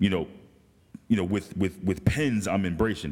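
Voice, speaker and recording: The speaker, with an American accent, goes at a very fast pace. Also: man. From Morristown, New Jersey. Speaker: podcast host. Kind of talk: casual chat.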